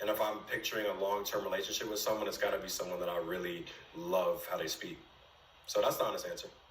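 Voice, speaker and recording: In a room with audible echo and noticeable background noise, a man speaks at a very fast pace. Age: 20s. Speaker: dating show contestant. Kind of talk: casual chat. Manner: halting.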